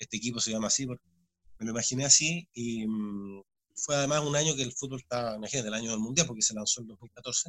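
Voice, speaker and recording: Speaking at a very fast pace, a man with a medium pitch uses ordinary pitch variation, his voice dry and close with no echo. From Chile, Santiago. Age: 40s. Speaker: sports commentator. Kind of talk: interview.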